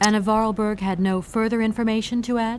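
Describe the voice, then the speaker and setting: Putting on a character voice, a woman rattles along at a very fast pace in a flat monotone with clear background noise. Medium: video game.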